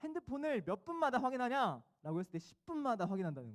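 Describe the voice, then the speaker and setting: The speaker talks at a fairly quick pace. Pitch swings very widely. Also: man. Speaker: youth pastor. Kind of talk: sermon. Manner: fast.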